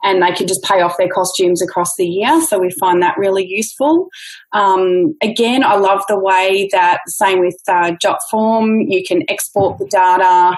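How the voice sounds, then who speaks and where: This woman's voice sits at a medium pitch with ordinary pitch variation. Her loudness stays very even. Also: moderate pace, hardly any pauses. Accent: Australian. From Australia. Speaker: dance studio owner, podcast co-host. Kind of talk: casual chat.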